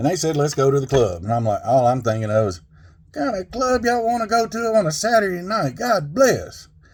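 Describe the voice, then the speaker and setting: With a Southern US accent, this voice swings very widely in pitch at a moderate pace over noticeable background noise. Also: man. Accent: country Southern. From Arkansas, US South. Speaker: storyteller. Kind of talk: personal storytelling.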